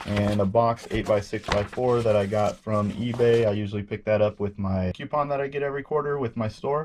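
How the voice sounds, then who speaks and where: The voice has an American accent and fairly even intonation. It moves at a fairly quick pace amid noticeable background noise. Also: man. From Washington State, Pacific Northwest. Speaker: eBay reseller, Army veteran. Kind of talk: casual talk to camera.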